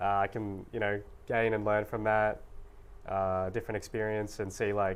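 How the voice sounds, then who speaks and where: A man talks with an Australian accent. His intonation is flat and monotone. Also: fairly low pitch for a man, moderate pace. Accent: mild suburban Australian. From Australia, Sydney northern beaches. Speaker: university student. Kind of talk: talk show interview. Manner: casual, with many fillers.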